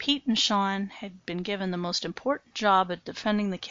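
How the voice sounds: Read in a natural reading voice, the speech has fairly even intonation.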